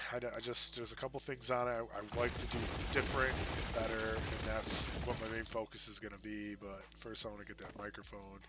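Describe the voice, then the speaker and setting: Delivery is fairly quick with hardly any pauses. Noticeable background noise runs underneath. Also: man. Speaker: gaming streamer. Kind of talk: casual gameplay commentary. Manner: halting, many fillers. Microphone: no dedicated microphone, poor quality.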